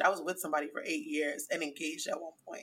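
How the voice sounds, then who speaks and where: Her tone is bright and sharp, and this woman's pitch moves in an ordinary way. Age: 30s. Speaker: podcaster and blogger. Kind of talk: casual chat.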